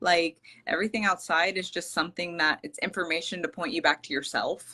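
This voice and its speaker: A woman's fairly low, bright and sharp voice with ordinary pitch variation at a fairly quick pace. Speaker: spiritual healer. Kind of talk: interview. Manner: hesitant, many fillers; loud. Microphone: quiet, headphones not connecting.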